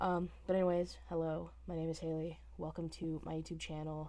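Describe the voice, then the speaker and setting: A woman is speaking. Room echo can be heard. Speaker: vlogger. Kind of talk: casual vlog talk to camera. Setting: small office with thin walls.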